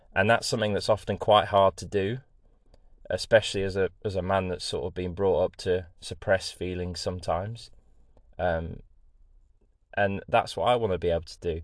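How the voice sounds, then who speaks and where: Against a quiet background, a man with an East Midlands accent talks at a moderate pace, leaving long, frequent pauses. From England, Lincoln (East Midlands). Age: 20s. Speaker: podcast host, engineer. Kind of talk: casual solo monologue. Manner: chatty, with many fillers.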